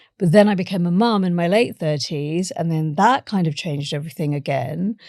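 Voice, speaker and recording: Fairly low-pitched woman with a British accent, fairly quick pace, ordinary pitch variation, and a very clean recording with a silent background. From India and England. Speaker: author and science journalist. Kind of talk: interview conversation.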